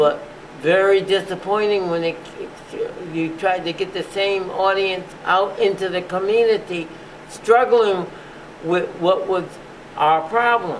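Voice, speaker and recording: High-pitched, fairly slow speech from a man with fairly even intonation and long, frequent pauses, over noticeable background noise. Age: 80s+. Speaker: physician, museum founder. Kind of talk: interview answer.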